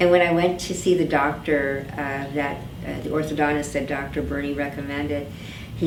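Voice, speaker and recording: A woman talks at a moderate pace with fairly even intonation. Noticeable background noise and audible room echo surround her voice. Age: 60s. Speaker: dental patient. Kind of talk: testimony. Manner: halting.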